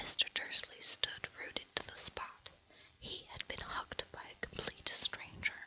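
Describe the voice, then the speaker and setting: A fairly slow whisper sounds over noticeable background noise. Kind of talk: whispered audiobook-style reading of a novel; ASMR relaxation reading. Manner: whispered, soft.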